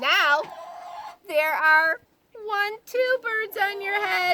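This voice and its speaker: A woman puts on a character voice at an extremely high pitch. She projects it loudly at a very slow pace. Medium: read story. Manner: calm, matter-of-fact.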